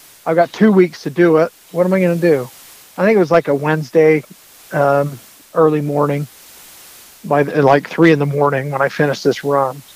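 There is noticeable background noise behind a man with an American accent. He speaks at a fairly quick pace with fairly even intonation. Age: 40s. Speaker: bowhunter and fitness enthusiast. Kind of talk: casual interview chat.

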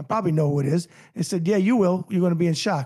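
Speaking very fast with a New York accent, a man uses a high voice in a very clean recording with a silent background. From New York (New Rochelle), later Miami Beach. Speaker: author and boxing journalist. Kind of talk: casual interview chat. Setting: studio.

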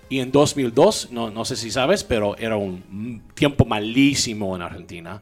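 A man with a Mexican accent speaks at medium pitch with ordinary pitch variation. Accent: speaks Spanish like a Mexican. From US South, Louisiana (Baton Rouge). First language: English (speaking Spanish). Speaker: tech entrepreneur and podcast host. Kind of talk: casual interview chat. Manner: halting, many repetitions and code-switching.

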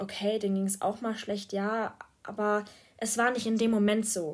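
The speaker is a woman of medium pitch, talking at a moderate pace. Her intonation is monotone and flat, on a very clean recording with a silent background. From Germany, small rural town. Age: 20s. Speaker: podcaster, student. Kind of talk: casual monologue. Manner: hesitant, many fillers.

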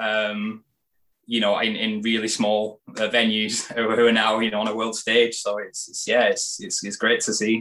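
Speaking with a British accent, a man delivers a bright, sharp tone at medium pitch, fairly slow and in monotone, flat intonation. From UK. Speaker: candle maker and entrepreneur. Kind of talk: casual interview.

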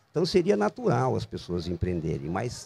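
The man's voice has a dark, mellow tone. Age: 60s. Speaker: designer and entrepreneur. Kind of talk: casual interview. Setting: outdoors in a public square bandstand.

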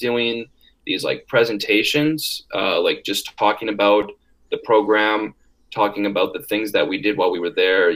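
Medium-pitched male voice, fairly even intonation, with an American accent. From northern Wisconsin, US. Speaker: college student. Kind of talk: interview. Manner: hesitant, many fillers.

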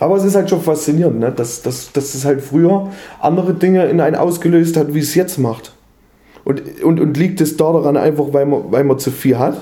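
A man's fairly high pitch carries a dark, mellow tone and ordinary pitch variation. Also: moderate pace. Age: 30s. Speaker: podcast co-host. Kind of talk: casual chat.

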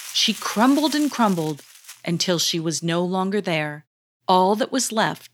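Plain reading aloud with lively intonation comes over a quiet background.

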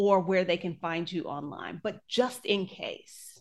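In an American accent, a woman with an unremarkable speaking voice talks at a fairly slow pace and medium pitch against a quiet background. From United States. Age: 40s. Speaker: podcast host and travel blogger. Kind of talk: casual chat.

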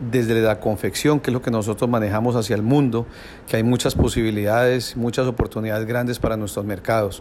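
A man's unremarkable speaking voice at a medium pitch, fairly quick in pace, with fairly even intonation. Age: 60s. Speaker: business owner. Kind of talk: interview answers.

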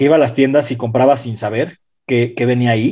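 Fairly quick speech comes from a man with a dark, mellow tone. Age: 30s. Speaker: DJ and music curator. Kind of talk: casual chat.

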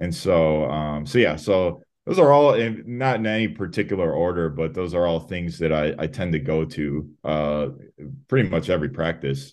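A man with a Chicago accent speaks at a moderate pace in a very deep, low voice with lively intonation. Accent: US Midwest (Chicago). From Chicago, Illinois, US. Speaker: sprint and jumps coach. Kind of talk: casual interview. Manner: many fillers (um, uh).

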